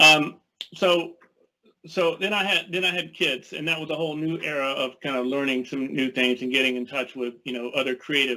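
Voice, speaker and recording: Here a man speaks at medium pitch with ordinary pitch variation. His pace is fairly quick. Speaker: illustrator. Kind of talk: presentation. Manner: fast; halting.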